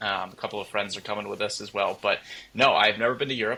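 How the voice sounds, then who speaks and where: A man with an American accent and a fairly low pitch speaks over noticeable background noise. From upstate New York. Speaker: sports journalist. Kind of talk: casual interview.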